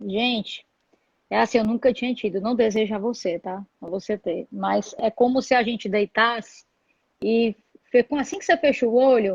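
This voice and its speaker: Dry and close with no echo, a woman's somewhat breathy voice comes through at a fairly high pitch. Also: ordinary pitch variation, moderate pace. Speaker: interview show host. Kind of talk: casual interview.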